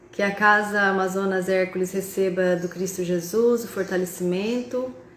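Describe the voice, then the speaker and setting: Over noticeable background noise, a woman talks at a fairly slow pace. Her pitch is medium, with ordinary variation. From interior of São Paulo state, Brazil (Tupã). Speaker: spiritist speaker and university professor. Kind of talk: spiritist talk on a live video call. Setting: video call (Zoom and Instagram live).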